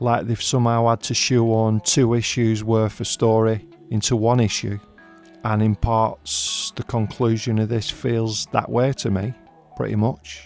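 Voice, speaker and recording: Music plays behind a man speaking in a Northern English accent. His intonation is monotone and flat, and his pace is fairly slow. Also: medium pitch for a man. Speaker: comic book reviewer. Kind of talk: casual review talk to camera.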